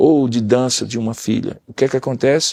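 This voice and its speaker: A man at a medium pitch, with a dark, mellow tone, ordinary pitch variation, and a moderate pace. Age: 60s. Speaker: pastor and counselor.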